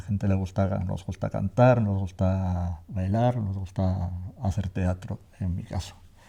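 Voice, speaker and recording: Dark and mellow in tone, a man speaks fairly slowly at a fairly low pitch with fairly even intonation. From Navarre, Spain (Tafalla). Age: 60s. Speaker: theatre actor. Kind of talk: interview testimony. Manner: halting, many fillers and repetitions.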